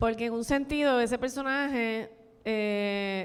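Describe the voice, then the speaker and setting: Fairly high in pitch, a woman speaks fairly slowly with fairly even intonation. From Puerto Rico, Barranquitas. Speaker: film director and screenwriter. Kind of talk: panel talk with audience. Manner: halting, with repetitions.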